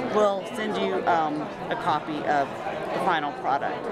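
A woman is heard in a dry sound with no echo, with crowd noise in the background. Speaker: voice actor; middle school drama teacher. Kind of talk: fundraising appeal. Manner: casual, friendly. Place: hall. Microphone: phone near.

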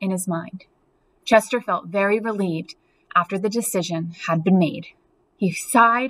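An unforced reading voice carries the text. Its pitch variation is ordinary.

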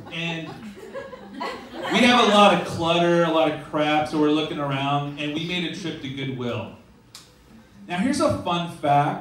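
A man's fairly high voice with long, frequent pauses, light background noise and audible room echo. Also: lively intonation. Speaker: stand-up comedian. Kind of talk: stand-up comedy. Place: stage. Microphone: camera far.

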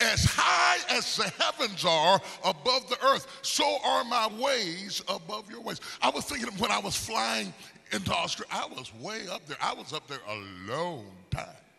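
A man speaks at a moderate pace with music in the background. His loudness swings widely. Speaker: preacher. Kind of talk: sermon. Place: stage. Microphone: handheld.

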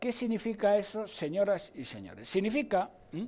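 This man talks at a moderate pace with a high-pitched voice. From Spain, Salamanca. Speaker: economics professor, political commentator. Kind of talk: TV political debate. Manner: animated. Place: studio. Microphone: lapel.

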